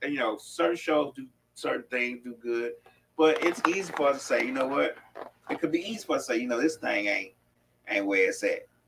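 Speech comes at a fairly quick pace, broken by long and frequent pauses, over noticeable background noise. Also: man. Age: 50s. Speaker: co-host. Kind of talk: casual chat. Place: studio.

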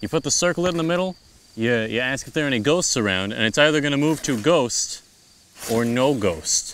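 A man's voice with lively intonation, a dry sound with no echo and light background noise. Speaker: comedic ghost hunter host. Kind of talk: comedy sketch presenting to camera. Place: open country.

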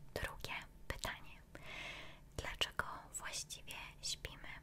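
A soft-spoken woman is whispering at a very slow pace over light background noise. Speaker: ASMR creator. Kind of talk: soft-spoken ASMR roleplay questions. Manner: close soft whisper into microphone. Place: home room. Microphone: studio mic.

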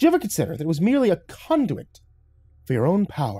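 Doing a put-on character voice, a man speaks fast at a fairly high pitch with very wide pitch swings, sounding croaky with a slightly husky edge and a dark, mellow tone.

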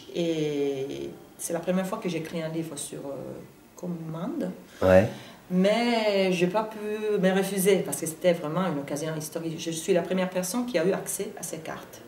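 Amid light background noise and audible room echo, a woman talks at a fairly low pitch with ordinary pitch variation. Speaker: interviewee. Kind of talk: interview answer. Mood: warm, sometimes smiling. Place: studio.

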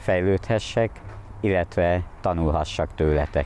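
A man talks at a fairly slow pace in a very deep, low pitch, his dark, mellow tone carrying ordinary pitch variation. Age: 30s. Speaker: amateur photographer applicant. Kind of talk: application video monologue. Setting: outdoors at a crossroads.

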